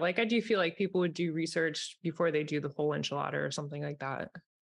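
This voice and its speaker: Very fast pace and fairly even intonation against a quiet background. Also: woman. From Vermont. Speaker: blogger. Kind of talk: casual chat.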